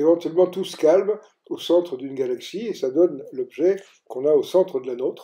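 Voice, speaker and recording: At a moderate pace, a man with a high pitch and a dark, mellow tone speaks with ordinary pitch variation. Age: 80s+. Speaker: physicist explaining his model. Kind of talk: lecture.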